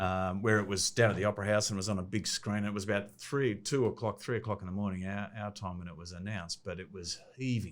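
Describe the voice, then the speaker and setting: Speaking very fast with an Australian accent, a man has fairly low pitch, fairly even intonation and hardly any pauses. His loudness swings widely in a very clean recording with a silent background. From Australia, Sydney Northern Beaches. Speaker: sports administrator. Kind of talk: interview.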